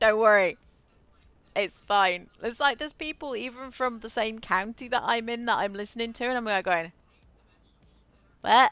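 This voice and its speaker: On a very clean recording with a silent background, a woman with an English accent and a bright, sharp tone speaks at a fairly high pitch and moderate pace, with ordinary pitch variation and long, frequent pauses. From England, rural farming village. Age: 30s. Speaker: gaming streamer. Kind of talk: casual chat. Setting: live stream. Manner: halting.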